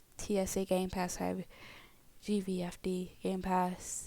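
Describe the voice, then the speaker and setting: A woman speaks at a very slow pace in a medium pitch. Her intonation is monotone and flat. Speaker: gaming YouTuber. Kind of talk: casual vlog story time. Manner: halting, stammering.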